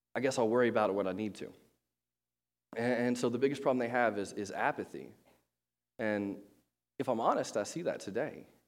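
This man talks at a fairly quick clip in a medium pitch, leaving long, frequent pauses. Room echo is audible. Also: ordinary pitch variation. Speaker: pastor. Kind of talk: sermon. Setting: church. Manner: casual, filler-heavy.

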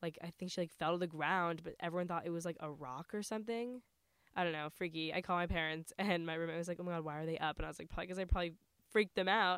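Speaking at a very fast pace, a woman with an American accent uses a fairly low pitch and fairly even intonation. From New York area. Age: young. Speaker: college student podcast co-host. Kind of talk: casual chat.

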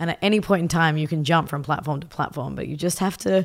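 A woman's very deep, low voice with an Australian accent, ordinary pitch variation, and a very clean recording over a silent background. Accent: Australian, noticeable. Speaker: tech company CEO and designer. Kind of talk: casual interview.

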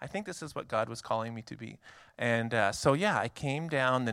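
A man with a normal speaking voice talks fairly quickly in a Canadian accent, his intonation lively. The recording is very clean, with a silent background. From Canada. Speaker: missionary. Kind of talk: church presentation. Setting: church.

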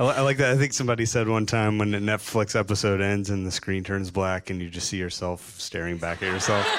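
A man with a fairly low pitch talks at a very fast pace with ordinary pitch variation and hardly any pauses, over noticeable background noise. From US South, Chattanooga, Tennessee. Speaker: graphic designer and artist. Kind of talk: live interview on stage. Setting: stage with live audience.

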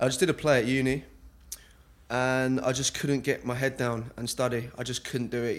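Here a man talks at a fairly quick pace. His pitch sits in the medium range. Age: 20s. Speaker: actor. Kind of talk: casual chat.

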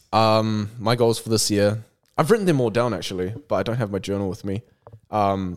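With a New Zealand accent, a man speaks at a moderate pace in a fairly low pitch with ordinary pitch variation. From New Zealand, South Auckland. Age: 20s. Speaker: content creator. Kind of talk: casual chat.

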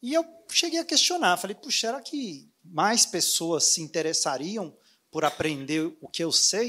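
A man's high-pitched, raised and projected voice, with very wide pitch swings and a fairly slow pace. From Brazil, Anápolis (Goiás). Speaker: dentist and online course creator. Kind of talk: interview at a live event.

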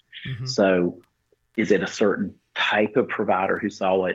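A man with an unremarkable speaking voice talks fairly quickly at a fairly low pitch, his intonation fairly even. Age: 60s. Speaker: physician practice owner and co-host. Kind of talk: casual chat.

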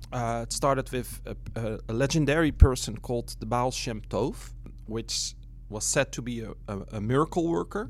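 With a Dutch accent, a man speaks at a moderate pace. His loudness swings widely. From Netherlands. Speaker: missionary. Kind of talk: interview conversation.

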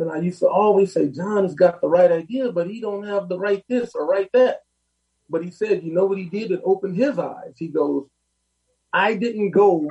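A man with a high-pitched voice speaks at a moderate pace, his pitch moving an ordinary amount. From Los Angeles, South LA. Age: 50s. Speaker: plumbing business owner. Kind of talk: interview.

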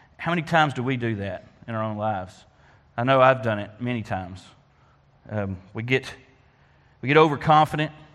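With an Arkansas accent, a man talks at a fairly quick pace with ordinary pitch variation. His pauses are long and frequent. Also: medium pitch for a man. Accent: US Southern (Arkansas). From Arkansas (Faulkner County). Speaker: lay preacher at a church. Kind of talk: sermon.

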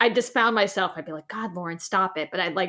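In a very clean recording with a silent background, a woman with an ordinary speaking voice talks at a fairly quick pace and a medium pitch. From New York City. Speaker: podcast host, actor and producer. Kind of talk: casual interview chat.

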